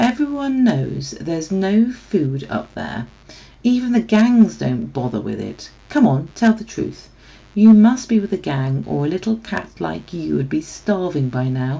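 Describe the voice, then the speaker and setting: A put-on character voice, gravelly and gruff, sits at a middle pitch. It moves at a moderate pace. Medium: read story. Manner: gruff, blunt.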